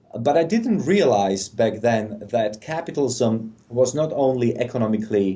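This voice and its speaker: Talking at a fairly slow pace with a non-native accent, a man has a dark, mellow tone and ordinary pitch variation. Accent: foreign. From Czechoslovakia. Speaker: policy analyst. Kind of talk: interview.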